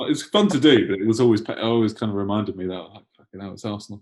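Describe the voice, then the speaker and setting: A man speaks very fast in a London accent, at a medium pitch. His intonation stays fairly even. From London (Enfield), England. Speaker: punk band guitarist. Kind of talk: casual interview chat. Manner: halting, lots of fillers and restarts.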